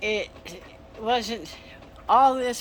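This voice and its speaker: A woman with an American accent, noticeable background noise behind her. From Texas. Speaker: antique salvage shop owner. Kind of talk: casual video walkthrough. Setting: indoors in her shop during storm. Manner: halting.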